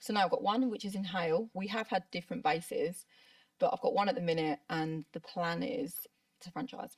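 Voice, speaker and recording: A woman with a southern English accent, medium in pitch, somewhat breathy, at a very fast pace. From southern England. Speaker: brow artist. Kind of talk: interview.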